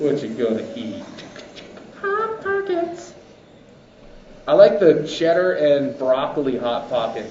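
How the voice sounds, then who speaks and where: A man speaks at a very slow pace with long, frequent pauses. Noticeable background noise and audible room echo surround him. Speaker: race announcer. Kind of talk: live commentary. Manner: animated; loud.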